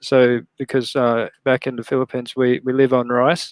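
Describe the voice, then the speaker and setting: A man speaks at a moderate pace with an Australian accent. His intonation is flat and monotone. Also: dry, close sound with no echo, quiet background. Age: 30s. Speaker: live stream host, toy collector. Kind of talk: casual chat. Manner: halting, many fillers.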